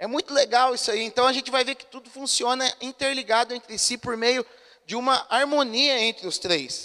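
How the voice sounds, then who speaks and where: In a very clean, dry, close recording with a silent background and no echo, a man projects a raised voice at an extremely high pitch and a moderate pace. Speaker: pastor. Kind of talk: sermon. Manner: conversational, asks the congregation questions.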